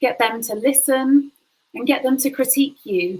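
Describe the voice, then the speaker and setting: Her pitch high and its variation ordinary, a woman speaks at a fairly slow pace. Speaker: university lecturer. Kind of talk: lecture.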